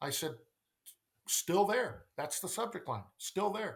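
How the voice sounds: The man's intonation is lively, and his voice has vocal fry.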